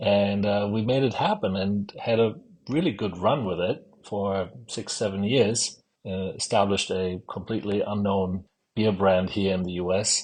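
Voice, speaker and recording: A man's fairly low voice with a German accent, at a moderate pace and with fairly even intonation. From Germany. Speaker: brewery co-founder. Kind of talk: podcast interview.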